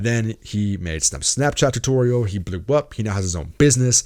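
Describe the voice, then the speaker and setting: On a very clean recording with a silent background, a man speaks with a fairly low pitch. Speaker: YouTuber and podcast host. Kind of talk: casual podcast monologue. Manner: fast, rambling with fillers.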